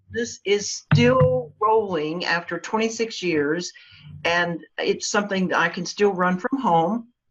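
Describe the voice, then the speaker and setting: With lively intonation and a fairly slow pace, this is an unremarkable speaking voice. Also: woman, medium pitch for a woman. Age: 60s. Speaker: local marketing agency owner. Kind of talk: interview.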